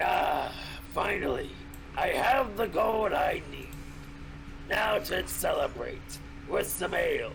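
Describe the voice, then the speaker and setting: A man's put-on character voice with long, frequent pauses, over loud background noise. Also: fairly slow pace. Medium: actual play. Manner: put-on gruff voice acting.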